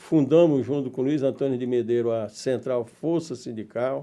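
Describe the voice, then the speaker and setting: This man has a dark, mellow tone and a medium pitch. His intonation stays fairly even at a moderate pace. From Brazil, Northeast (Paraíba, rural). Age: 70s. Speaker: union leader and former politician. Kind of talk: interview.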